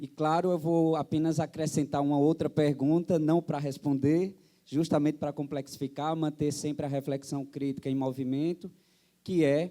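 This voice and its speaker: A speaker with a dark, mellow tone talks at a moderate pace in a monotone, flat intonation, on a very clean recording with a silent background. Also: man, fairly high pitch for a man. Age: 30s. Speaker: union health coordinator, panel moderator. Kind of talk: panel talk at seminar. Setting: stage with audience.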